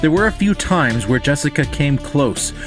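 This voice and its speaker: With music in the background, a man speaks at a medium pitch with lively intonation. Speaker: storyteller. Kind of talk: rhyming story narration.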